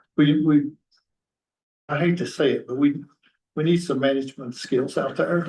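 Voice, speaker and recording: With an American accent, a man speaks at a moderate pace with long, frequent pauses. His fairly high voice is dark and mellow in tone, somewhat breathy, with fairly even intonation. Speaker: county council member. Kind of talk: public meeting discussion. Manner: soft-spoken; halting.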